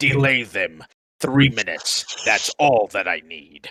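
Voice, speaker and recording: Putting on a character voice, a man speaks at a fairly slow pace with a medium pitch and ordinary pitch variation. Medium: actual play. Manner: cold, confident, clipped.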